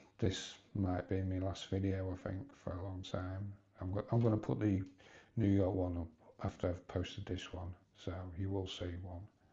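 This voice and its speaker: A man speaks at a moderate pace with a very deep, low pitch. His tone is dark and mellow, and somewhat breathy. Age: 60s. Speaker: vlogger. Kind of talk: personal vlog monologue. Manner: halting.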